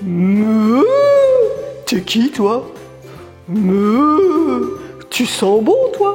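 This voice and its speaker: A woman puts on a cartoonish character voice at a fairly high pitch, talking at a very slow pace. Music plays clearly in the background. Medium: puppet.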